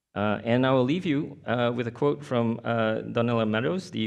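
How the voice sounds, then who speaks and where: Against a quiet background, a man speaks with a Mandarin accent. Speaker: artist-researcher. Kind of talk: conference presentation. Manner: halting, many fillers.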